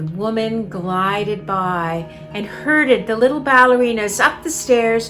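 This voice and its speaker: With music playing behind her, a woman speaks very slowly at a medium pitch. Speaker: author and storyteller. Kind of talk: ghost story reading.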